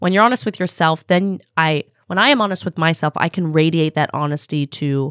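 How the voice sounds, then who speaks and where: In a very clean recording with a silent background, a speaker with an American accent comes across dry and close, with no echo. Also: woman. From Los Angeles, US. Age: 30s. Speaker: startup founder and CEO. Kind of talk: casual interview. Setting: podcast studio.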